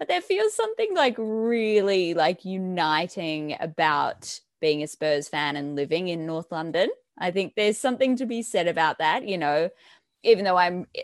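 The pace is moderate and the pitch variation ordinary, with a dry, close sound with no echo on a very clean recording with a silent background. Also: woman. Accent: Australian. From Australia. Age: 20s. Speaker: news producer and reporter. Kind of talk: casual chat.

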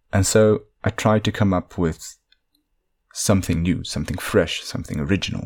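A moderate pace and ordinary pitch variation with a Dutch accent, on a very clean recording with a silent background. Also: man. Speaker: podcast host, linguist and fantasy worldbuilder. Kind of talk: solo storytelling monologue.

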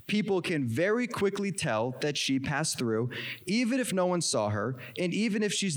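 Nothing more than plain reading aloud

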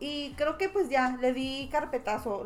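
A woman speaks in a high pitch. Noticeable background noise can be heard. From Mexico. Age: 30s. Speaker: podcast guest. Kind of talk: casual chat.

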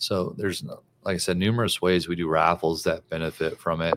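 The recording is very clean, with a silent background. The speech moves at a moderate pace. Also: man. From Louisiana. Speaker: sports association executive and coach. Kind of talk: live event interview. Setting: convention venue.

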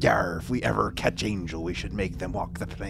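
Over loud background noise, a man does a put-on character voice at a fairly quick pace. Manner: swashbuckling, theatrical.

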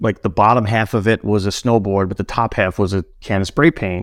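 The speaker has a New York accent and fairly even intonation. The recording is very clean, with a silent background. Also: man. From Brooklyn, New York. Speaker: snowboard apparel brand founder. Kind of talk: casual chat.

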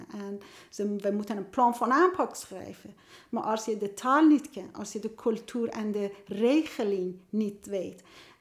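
With a Persian accent, a woman talks at a fairly slow pace, her loudness swinging widely. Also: ordinary pitch variation. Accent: Persian-accented Dutch. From Iran. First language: Persian (speaking Dutch). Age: 50s. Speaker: youth care worker and author. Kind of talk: casual interview. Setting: at a kitchen table. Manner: halting.

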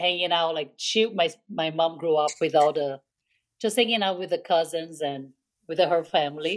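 A woman with a Brazilian accent, fairly low-pitched, at a moderate pace, with ordinary pitch variation. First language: Portuguese. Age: middle-aged. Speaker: podcast co-host. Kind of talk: casual chat.

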